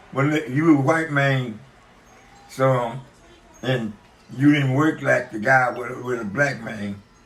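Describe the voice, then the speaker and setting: The speech moves at a fairly slow pace with fairly even intonation and long, frequent pauses, amid audible room echo and noticeable background noise. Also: man, medium pitch for a man. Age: 90s. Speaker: grandfather recalling history. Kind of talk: casual family conversation.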